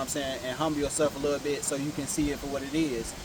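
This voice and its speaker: Words rush out at a very fast pace in an American accent. Noticeable background noise runs underneath. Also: man. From Ohio, Cleveland area. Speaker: rapper. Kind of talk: interview.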